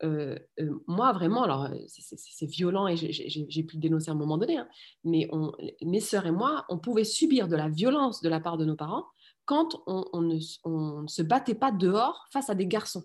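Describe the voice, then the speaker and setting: The intonation is lively, and the delivery keeps a moderate pace. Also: woman. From France. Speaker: political scientist and parent activist. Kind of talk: interview conversation. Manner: halting, many hesitations and repeated words.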